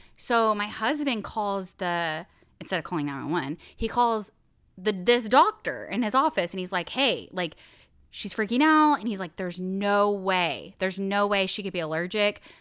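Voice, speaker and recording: At a moderate pace and medium pitch, a woman talks in a very clean recording with a silent background. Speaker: podcast co-host. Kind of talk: casual chat. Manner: animated.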